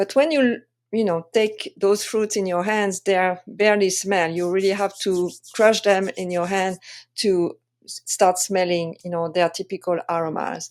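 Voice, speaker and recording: A woman speaks at a fairly slow pace with a French accent and a medium pitch. Her intonation is fairly even, and the recording is very clean with a silent background. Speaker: wine sensory expert and tasting coach. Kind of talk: presentation tutorial. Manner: hesitant, many fillers.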